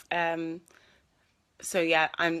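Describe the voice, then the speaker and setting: In a very clean recording with a silent background, a woman with a Scouse accent speaks at a fairly low pitch. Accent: mild Scouse. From Liverpool, England. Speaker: actress. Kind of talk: live Q&A stream. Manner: casual, hesitant with fillers.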